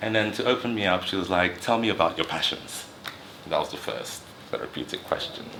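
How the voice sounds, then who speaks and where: Noticeable background noise is present. A man speaks at a fairly quick pace. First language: another dialect besides English. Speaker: psychotherapist and mental health channel host. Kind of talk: personal storytelling monologue. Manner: rising and falling intonation; speaks fast when excited.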